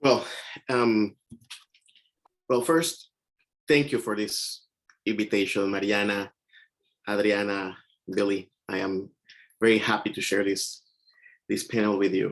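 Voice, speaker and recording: A man with a Mexican accent speaks at a fairly slow pace in a fairly low voice. He makes long, frequent pauses. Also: ordinary pitch variation. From Mexico. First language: Spanish. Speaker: poet. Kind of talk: panel discussion. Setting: video call.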